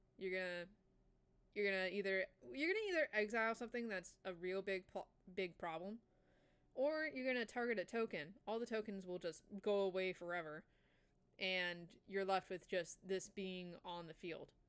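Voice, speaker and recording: With an enthusiastic tone, a woman of medium pitch speaks at a moderate pace with ordinary pitch variation and long, frequent pauses. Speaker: VTuber streamer. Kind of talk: casual live stream chat about card games. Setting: live stream. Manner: casual, enthusiastic.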